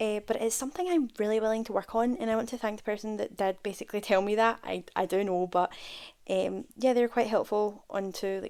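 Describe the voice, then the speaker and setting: Fairly quick speech from a woman, her pitch fairly high and varying in an ordinary way. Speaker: gaming YouTuber. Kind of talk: casual voiceover commentary. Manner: fast.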